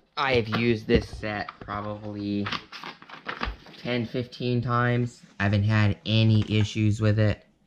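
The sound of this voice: A man's slow, fairly low voice with little pitch movement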